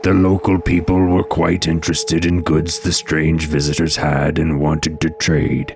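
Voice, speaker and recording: A man puts on a character voice at a very deep, low pitch, speaking at a moderate pace over clear background noise. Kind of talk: dramatic legend narration. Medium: read story. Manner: dramatic, suspenseful.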